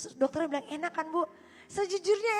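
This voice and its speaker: A woman speaks loudly. Her tone is animated. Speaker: pastor. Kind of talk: sermon.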